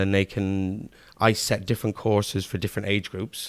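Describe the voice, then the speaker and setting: A man with an Irish accent speaks at a fairly quick pace with a fairly low pitch. His intonation is monotone and flat, on a very clean recording with a silent background. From Ireland, Kilkenny. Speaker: school computing teacher. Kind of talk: casual interview. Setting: classroom.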